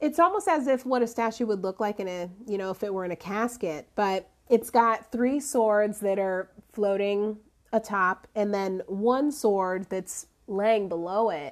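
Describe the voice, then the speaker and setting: An unremarkable speaking voice, with ordinary pitch variation, proceeds at a fairly slow pace over a quiet background. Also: woman, medium pitch for a woman. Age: 30s. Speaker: podcast host and life coach. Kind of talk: casual solo talk and tarot reading. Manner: laughs often, relaxed.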